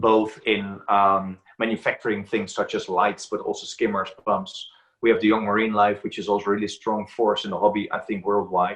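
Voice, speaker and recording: A man with a Dutch accent speaks with hardly any pauses. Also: moderate pace. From Netherlands. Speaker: aquarium book author and reef expert. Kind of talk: interview.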